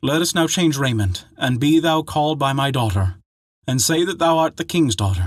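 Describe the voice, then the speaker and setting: In a put-on character voice, a man speaks with a fairly high pitch and lively intonation at a moderate pace on a very clean recording with a silent background. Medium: read story. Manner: archaic, earnest.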